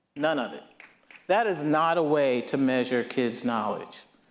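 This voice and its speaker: Audible room echo surrounds a man with a fairly high pitch. He talks at a fairly slow pace with lively intonation. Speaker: nonprofit co-founder. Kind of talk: speech to audience. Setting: stage with audience. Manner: loud.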